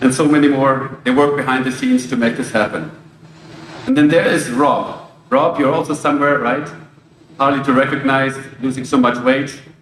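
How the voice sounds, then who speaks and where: A man speaks with monotone, flat intonation. The room echo is audible and background noise is noticeable. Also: fairly high pitch for a man, moderate pace. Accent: German. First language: German. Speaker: logistics company executive. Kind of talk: ceremony speech.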